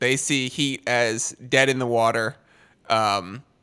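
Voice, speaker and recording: A very slow, medium-pitched man's voice with an American accent, a bright, sharp tone and fairly even intonation. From Boston. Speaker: sports betting podcast host. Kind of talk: casual chat. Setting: video call.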